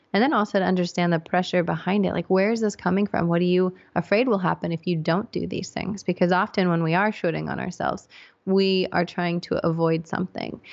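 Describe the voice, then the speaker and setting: This woman has a plain, everyday voice with an American accent. Her pitch is fairly low, her intonation fairly even, and her pace fairly quick. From England, with childhood years in the US. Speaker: psychologist and podcast host. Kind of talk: interview.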